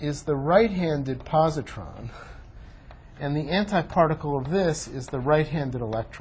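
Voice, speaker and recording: This man has a plain, everyday voice, fairly high in pitch, at a moderate pace. His intonation is lively, and his loudness swings widely. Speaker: physics professor. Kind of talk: lecture.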